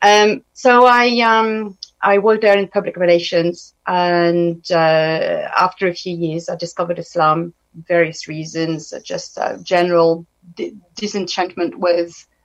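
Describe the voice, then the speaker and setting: A woman talks at a fairly slow pace with a French accent. Her pitch sits fairly low. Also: ordinary pitch variation. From France. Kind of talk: radio interview. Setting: radio studio.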